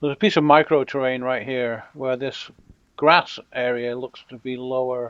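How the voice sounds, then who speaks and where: Speaking at a moderate pace with an American accent, a man holds a medium pitch and fairly even intonation. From Britain. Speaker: video game content creator. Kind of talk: gameplay commentary tutorial. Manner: casual, conversational.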